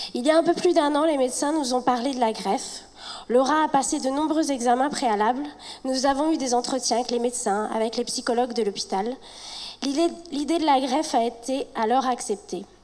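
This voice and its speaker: Over noticeable background noise, a woman speaks at a fairly quick pace in a high pitch with ordinary pitch variation. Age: 30s. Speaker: patient speaking at a charity gala. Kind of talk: reading aloud. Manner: halting.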